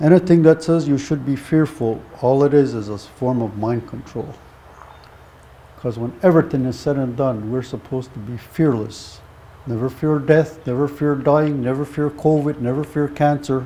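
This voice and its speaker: A man talks at a moderate pace with ordinary pitch variation. His pitch is fairly high. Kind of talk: teaching talk.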